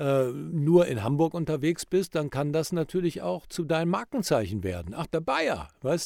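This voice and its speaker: On a very clean recording with a silent background, a man with a fairly high pitch speaks at a moderate pace with lively intonation and hardly any pauses. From Rhineland, Germany. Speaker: professional speaker and presentation coach. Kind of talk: casual podcast chat.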